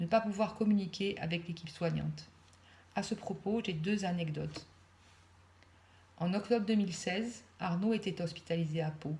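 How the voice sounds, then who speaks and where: Somewhat breathy and dark, mellow in tone, the voice keeps a moderate pace and fairly even intonation, with long, frequent pauses. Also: woman. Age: 60s. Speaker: mother of a son with mental illness. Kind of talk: reading aloud. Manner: less natural than usual, read.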